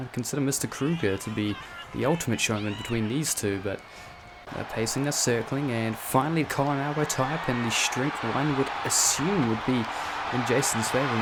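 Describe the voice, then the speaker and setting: Moderate-paced speech with ordinary pitch variation over noticeable background noise. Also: man, medium pitch for a man. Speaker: wrestling commentator. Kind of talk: sports play-by-play commentary.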